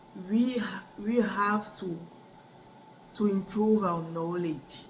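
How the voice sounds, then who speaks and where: A woman speaks at a very slow pace, with noticeable background noise and audible room echo. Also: medium pitch for a woman, ordinary pitch variation. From Cameroon. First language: French. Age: 30s. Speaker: adult student. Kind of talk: class speech assignment. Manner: halting, with many repetitions and restarts.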